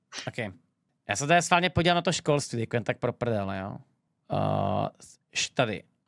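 The voice swings very widely in pitch, with vocal fry, at a moderate pace and with long, frequent pauses. The background is quiet and the sound is dry with no echo. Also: man. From Czech Republic. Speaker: streamer reacting to a debate. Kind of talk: live stream reaction commentary. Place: home room. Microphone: studio mic.

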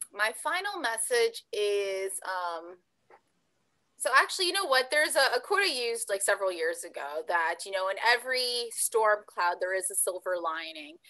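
With a Canadian accent, a woman speaks at a moderate pace with lively intonation and a bright, sharp tone against a quiet background. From Canada, Ontario. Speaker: pageant titleholder; guest. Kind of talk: interview. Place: home room. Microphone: video call.

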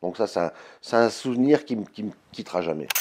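Talking at a fairly slow pace, a man lets his pitch swing very widely. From France. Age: 50s. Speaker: blues guitarist and singer. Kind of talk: interview answers. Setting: label office. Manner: hesitant, many fillers. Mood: warm, reminiscing, proud. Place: office.

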